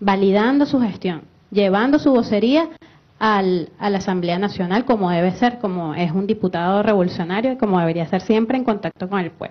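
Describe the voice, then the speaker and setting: A woman talks fairly quickly at a medium pitch, her pitch varying in an ordinary way. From Venezuela. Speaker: political activist. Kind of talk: tribute speech on TV panel. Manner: halting, repeats words.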